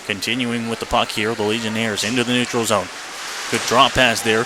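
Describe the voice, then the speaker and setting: Noticeable background noise behind a man's medium-pitched voice. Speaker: radio hockey play-by-play announcer. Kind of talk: live radio sports play-by-play commentary. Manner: fast, energetic.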